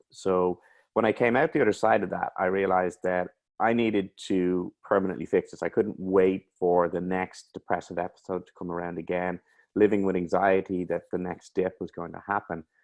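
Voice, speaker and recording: With an Irish accent, a man speaks at a very deep, low pitch and a moderate pace, his intonation fairly even, the sound dry and close with no echo against a quiet background. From Ireland. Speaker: mental health coach. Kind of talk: interview.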